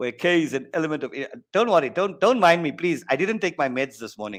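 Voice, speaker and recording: A man with a high pitch and an animated tone speaks with a South African accent. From South Africa, East Rand (Benoni). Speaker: maths teacher. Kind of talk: online exam-prep lesson. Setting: online workshop.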